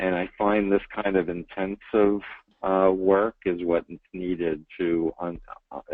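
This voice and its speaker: A man speaks with a very deep, low pitch and monotone, flat intonation. His pace is fairly slow, and his loudness swings widely. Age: 60s. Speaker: cult expert and mental health professional. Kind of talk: webinar Q&A. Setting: online webinar. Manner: hesitant, many fillers.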